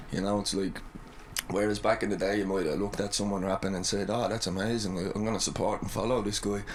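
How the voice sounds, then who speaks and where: Audible room echo surrounds a man with an Irish accent who talks very fast in a fairly low pitch with monotone, flat intonation. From Ireland. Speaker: rapper. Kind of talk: casual interview chat.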